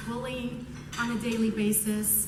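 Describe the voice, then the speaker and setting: A woman speaks with a fairly high pitch and monotone, flat intonation. Noticeable background noise and audible room echo surround her. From Iran, raised in US from about age 11. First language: Persian. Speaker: prosecutor. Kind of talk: award acceptance speech. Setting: stage with audience.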